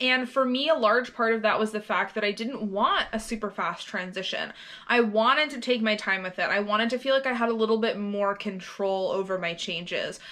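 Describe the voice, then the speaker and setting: A woman speaks at a fairly quick pace with a fairly high pitch and ordinary pitch variation. Noticeable background noise runs behind her. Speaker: vlogger. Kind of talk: casual vlog monologue. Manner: casual, with fillers.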